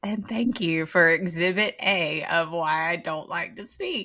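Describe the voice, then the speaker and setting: Speaking in a strong Southern US accent, a woman with fairly low pitch talks fairly slowly, with ordinary pitch variation and big swings in loudness. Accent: strong, thick Southern. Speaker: podcast co-host. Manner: whispering, quiet.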